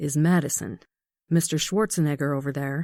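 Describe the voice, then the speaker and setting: A put-on character voice from a woman, very deep and low in pitch, with ordinary pitch variation and a moderate pace, in a very clean recording with a silent background. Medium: read story. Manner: gruff, sarcastic.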